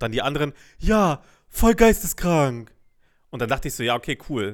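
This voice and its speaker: In a very clean recording with a silent background, a man talks at a fairly high pitch with very wide pitch swings. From Lower Saxony (Braunschweig area). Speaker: podcast co-host. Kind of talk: casual chat.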